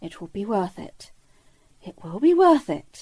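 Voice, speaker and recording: A female-sounding voice at medium pitch puts on a growling character voice with very wide pitch swings, moving at a moderate pace. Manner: growling, through gritted teeth.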